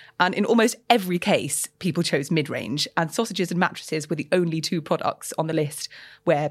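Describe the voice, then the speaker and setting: The speaker has a London accent and moves at a fairly quick pace. The recording is very clean, with a silent background. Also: woman. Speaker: journalist, podcast co-host. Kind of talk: casual chat.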